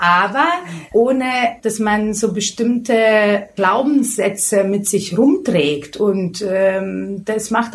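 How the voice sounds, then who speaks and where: A woman with a Lithuanian accent speaks in a fairly high pitch. Her voice is somewhat breathy, with ordinary pitch variation. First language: Lithuanian (speaking German). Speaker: beauty expert and hairdresser. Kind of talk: interview.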